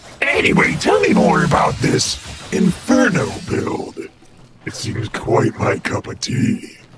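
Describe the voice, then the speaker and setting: In a put-on character voice, a man talks at a fairly slow pace with a high, raspy pitch. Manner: excited, manic.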